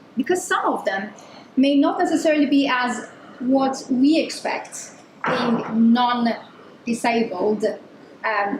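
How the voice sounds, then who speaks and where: A woman's high-pitched voice amid noticeable background noise and audible room echo. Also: very even loudness. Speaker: design researcher giving a talk. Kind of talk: conference talk. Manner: loud.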